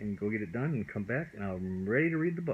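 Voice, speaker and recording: A man with a fairly low pitch talks with very wide pitch swings. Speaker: father reading to his child. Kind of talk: bedtime story reading. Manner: loving, comforting.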